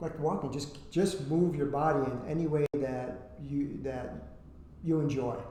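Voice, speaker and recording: Over noticeable background noise and audible room echo, a man speaks fairly slowly with a fairly high pitch and fairly even intonation. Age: 60s. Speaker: men's wellness coach. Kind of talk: podcast interview.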